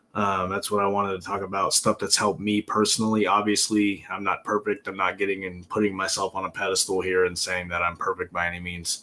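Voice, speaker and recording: A man rattles on at a very fast pace with hardly any pauses, his fairly low voice monotone and flat, with a bright, sharp tone. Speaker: self-help livestreamer. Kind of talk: casual live stream talk. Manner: casual, with many filler words.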